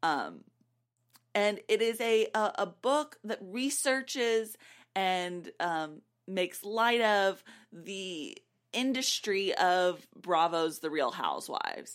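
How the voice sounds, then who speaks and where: In a very clean recording with a silent background, a woman with a medium pitch speaks at a very slow pace with lively intonation. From Nashville, Tennessee. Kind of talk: casual chat.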